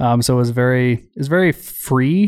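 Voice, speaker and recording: With an Albertan accent, a man speaks at a medium pitch. The recording is very clean, with a silent background. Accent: Canadian, Albertan. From rural Alberta, Canada. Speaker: army veteran. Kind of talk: interview.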